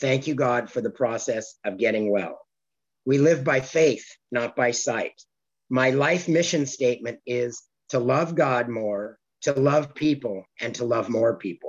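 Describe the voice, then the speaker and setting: A man with a normal speaking voice, a medium pitch and a fairly slow pace. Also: ordinary pitch variation. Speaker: recovering compulsive overeater sharing his story. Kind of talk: recovery meeting share. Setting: video call.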